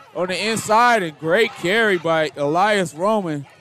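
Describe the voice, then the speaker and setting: A male voice with lively intonation against clear background noise. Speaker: play-by-play announcer. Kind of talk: live commentary. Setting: stadium broadcast.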